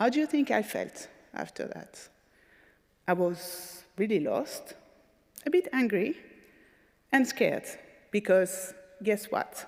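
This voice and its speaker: With a French accent, a woman speaks very slowly at fairly high pitch, with very wide pitch swings and long, frequent pauses. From France. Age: 40s. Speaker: patient advocate speaker. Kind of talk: conference talk.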